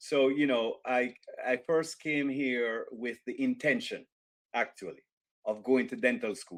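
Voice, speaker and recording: With a Jamaican accent, a man talks at a fairly slow pace. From rural Jamaica. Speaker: author and business executive. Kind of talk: interview.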